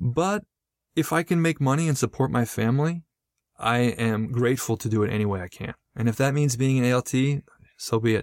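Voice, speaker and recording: This is an unremarkable speaking voice from a man with an American accent, medium in pitch. His intonation is lively, and the sound is dry and close with no echo. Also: fairly quick pace, very clean recording, silent background. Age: 40s. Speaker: English teacher and podcaster. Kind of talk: interview.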